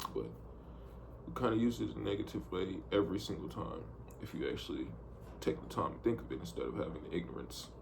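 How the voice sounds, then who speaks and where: A man speaks very fast in a very deep, low pitch with very wide pitch swings. Long, frequent pauses break up his speech, and room echo is audible. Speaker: vlogger, amateur trader. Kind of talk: casual video diary monologue. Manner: casual, rambling with repetitions.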